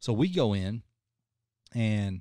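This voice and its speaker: Over a quiet background, a man with a dark, mellow tone speaks with fairly even intonation in a dry sound with no echo. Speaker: podcast host telling a story. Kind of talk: casual podcast storytelling. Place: studio. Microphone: studio mic.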